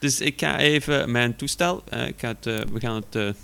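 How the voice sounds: With vocal fry and a bright, sharp tone, a man speaks at medium pitch and a moderate pace, using ordinary pitch variation.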